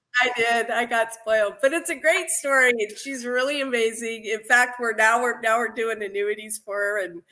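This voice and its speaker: A woman's fairly high voice at a moderate pace, with ordinary pitch variation, hardly any pauses and noticeable background noise. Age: 50s. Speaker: insurance agent. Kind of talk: podcast interview.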